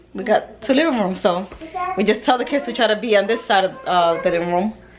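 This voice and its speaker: Over noticeable background noise, the voice races at a very fast pace with lively intonation. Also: woman. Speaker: home vlogger. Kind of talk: casual vlog chat. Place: home room. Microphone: phone near.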